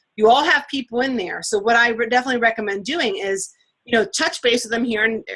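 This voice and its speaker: A woman's fairly high, bright, sharp voice at a very fast pace. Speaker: fitness coach running team training. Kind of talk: online team training session.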